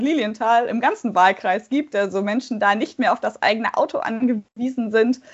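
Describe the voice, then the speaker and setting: A woman speaks at a fairly high pitch with ordinary pitch variation in an unremarkable speaking voice. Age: 20s. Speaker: parliamentary candidate and law doctoral student. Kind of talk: interview.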